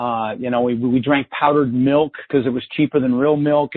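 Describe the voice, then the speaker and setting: A man with an American accent, fairly high in pitch, at a fairly quick pace. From US Mountain West, Denver, Colorado. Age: 50s. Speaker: real estate investor and podcast host. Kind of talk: interview storytelling. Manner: animated.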